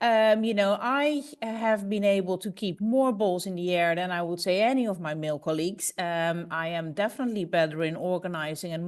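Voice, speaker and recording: Against a quiet background, a woman with a Dutch accent speaks with lively intonation. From Netherlands. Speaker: business executive, panelist. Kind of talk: panel discussion. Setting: webinar video call. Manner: halting.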